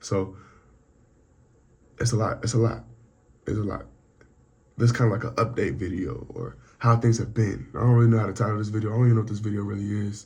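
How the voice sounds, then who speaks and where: A man speaks at a very fast pace, his voice somewhat breathy. His intonation stays fairly even, broken by long, frequent pauses. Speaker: vlogger. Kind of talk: personal vlog update. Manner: halting.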